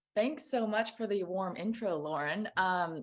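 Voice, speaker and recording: The voice moves with ordinary pitch variation against a quiet background. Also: woman. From Taiwan, then Los Angeles County from childhood. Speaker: panel moderator, nonprofit director. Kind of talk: panel moderation, opening remarks.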